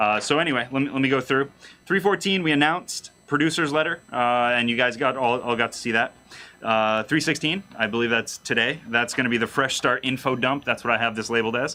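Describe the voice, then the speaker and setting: The tone is bright and sharp, with ordinary pitch variation. Loudness stays very even at a fairly quick pace. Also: man, medium pitch for a man. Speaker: game community manager. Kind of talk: livestream announcement. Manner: fast; casual, many fillers.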